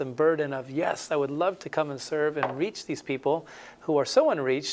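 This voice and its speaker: The pace is moderate, with a Spanish accent. Intonation stays fairly even. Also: man. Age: 40s. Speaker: missionary. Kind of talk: interview.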